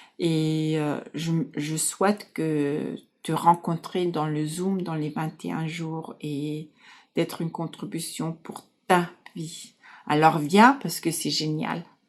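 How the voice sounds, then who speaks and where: A woman speaks very slowly with a German accent, her pitch very deep and low and her intonation fairly even. Her loudness swings widely, on a very clean recording with a silent background. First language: German (speaking French). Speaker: life coach. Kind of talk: casual talk to camera. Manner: halting.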